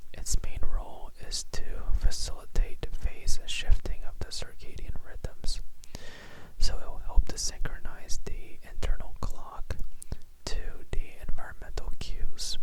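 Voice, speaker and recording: Whispering comes through noticeable background noise. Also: fairly slow pace. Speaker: ASMR tutor. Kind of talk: ASMR educational explanation. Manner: whispered, soft-spoken.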